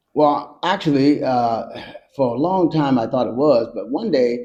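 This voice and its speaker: This is a man speaking. He has an American accent. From Georgia, USA. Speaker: military veteran. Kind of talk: interview answer.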